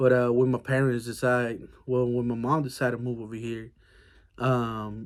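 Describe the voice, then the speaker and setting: A man with a Mexican accent speaks in a flat monotone at a medium pitch and a moderate pace. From Mexico. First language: Spanish. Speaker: army veteran. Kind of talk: casual monologue. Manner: hesitant, many fillers.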